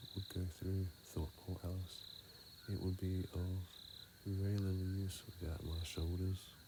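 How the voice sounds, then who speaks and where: A man speaks in a very deep, low voice with a calm tone. His intonation is monotone and flat, over noticeable background noise. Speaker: ASMR reader / sleep content creator. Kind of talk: sleep story reading. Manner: soft, calm, slow.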